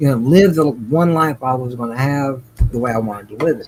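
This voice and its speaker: A somewhat breathy man at medium pitch, with ordinary pitch variation and a moderate pace. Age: 40s. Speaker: guest on a stream. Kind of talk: testimony.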